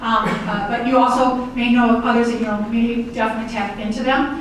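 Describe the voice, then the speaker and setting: A woman's fairly high voice at a very fast pace, with audible room echo and noticeable background noise. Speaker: accessibility trainer. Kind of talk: training presentation.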